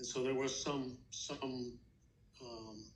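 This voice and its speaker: Heard with audible room echo, a man speaks in a somewhat breathy voice. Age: 70s. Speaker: grandfather interviewed for school project. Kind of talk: interview. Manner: halting, many fillers.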